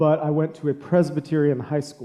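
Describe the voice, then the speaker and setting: A man speaks at a moderate pace, his pitch fairly high and his tone dark and mellow. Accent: American. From USA. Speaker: author. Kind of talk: interview. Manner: halting.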